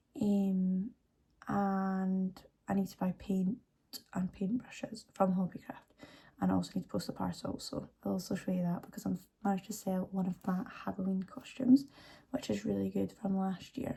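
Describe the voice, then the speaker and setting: A somewhat breathy, dark, mellow tone. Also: woman, medium pitch for a woman, ordinary pitch variation, moderate pace. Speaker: lifestyle vlogger. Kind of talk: vlog. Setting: at home in kitchen.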